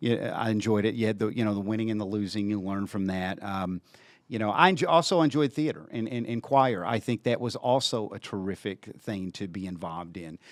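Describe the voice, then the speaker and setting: A man with a Southern accent talks at a fairly quick pace with hardly any pauses. His pitch is fairly low. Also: ordinary pitch variation, very clean recording, silent background. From western Kentucky (Paducah). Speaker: TV station general manager. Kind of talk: casual interview chat.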